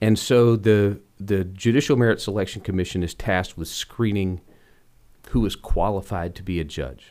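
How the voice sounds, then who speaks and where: In a very clean recording with a silent background, a man with an American accent and a plain, everyday voice talks at a moderate pace, his pitch fairly low with ordinary variation. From US South, Rock Hill, South Carolina. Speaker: state senator. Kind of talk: interview. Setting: studio.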